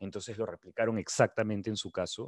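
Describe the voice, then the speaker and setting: This man has a plain, everyday voice and talks at a fairly quick pace in a dry, close sound with no echo. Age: 20s. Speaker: nutrition coach. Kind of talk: casual interview.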